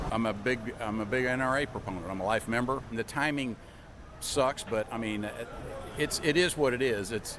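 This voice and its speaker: At a fairly quick pace, a man with an American accent talks at a medium pitch with ordinary pitch variation, against noticeable background noise. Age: 60s. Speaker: interviewee. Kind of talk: street interview.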